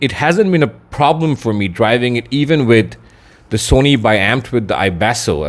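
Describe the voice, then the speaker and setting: Speaking in an ordinary speaking voice, a man at medium pitch talks at a fairly quick pace with lively intonation. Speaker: audio gear reviewer. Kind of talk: product review. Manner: casual, conversational.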